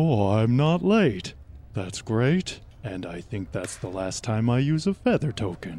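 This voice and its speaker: A man puts on a character voice at medium pitch in a very clean recording with a silent background. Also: fairly slow pace. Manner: slow.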